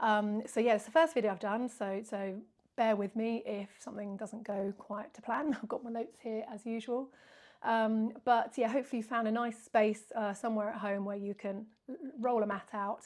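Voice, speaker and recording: A woman with a plain, everyday voice speaks at a moderate pace with a fairly high pitch and fairly even intonation. The recording is very clean, with a silent background. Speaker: yoga teacher. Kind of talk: casual talk to camera.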